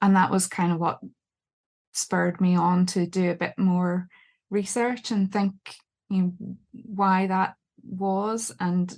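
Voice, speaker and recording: Over a quiet background, a woman with a Northern Irish accent speaks very slowly at a medium pitch, somewhat breathy and flat in intonation, with long, frequent pauses. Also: very even loudness. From Northern Ireland. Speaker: book editor and author. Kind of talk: podcast interview. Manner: hesitant, many fillers.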